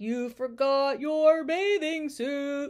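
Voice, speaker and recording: Using a put-on character voice, a woman speaks at a high pitch with ordinary pitch variation. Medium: read story. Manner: commanding, announcer-like.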